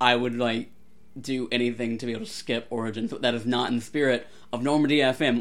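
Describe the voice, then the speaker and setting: A man talks in a normal speaking voice at a medium pitch. His intonation is fairly even and his pace fairly quick. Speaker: podcast co-host. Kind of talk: casual chat. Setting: remote recording over Discord.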